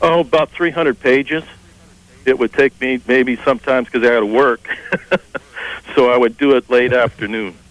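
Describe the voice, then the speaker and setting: At a moderate pace with long, frequent pauses, the speech carries fairly even intonation in a dry, close sound with no echo. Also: man, medium pitch for a man. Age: 50s. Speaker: caller. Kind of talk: casual chat. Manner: halting.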